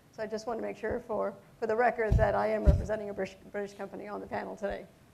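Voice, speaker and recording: The speaker talks very fast with an American accent, and the loudness swings widely. Background noise is noticeable. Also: woman. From United States. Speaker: hotel company executive. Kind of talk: panel discussion.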